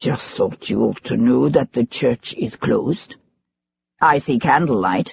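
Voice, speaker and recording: A raspy, put-on character voice delivers its lines at a fairly slow pace. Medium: read story. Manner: affable, smooth, veiled menace.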